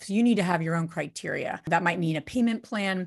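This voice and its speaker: A woman with a normal speaking voice speaks in an American accent at medium pitch. The background is quiet. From New Jersey. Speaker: real estate investor. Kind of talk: guest talk on live video call.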